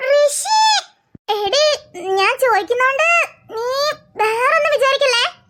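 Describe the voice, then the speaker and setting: A cartoonish character voice, extremely high-pitched, at a fairly slow pace. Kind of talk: cartoon character voices.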